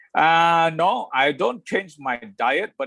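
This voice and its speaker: A man with a bright, sharp tone speaks at a high pitch with very wide pitch swings, the sound dry and close with no echo. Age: 60s. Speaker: interviewee talking about retirement and health. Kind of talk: casual interview. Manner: halting, many fillers.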